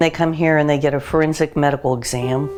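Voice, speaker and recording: Over music in the background, a woman with a very deep, low pitch speaks with fairly even intonation. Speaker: doctor and children's recovery center founder. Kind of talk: interview answer.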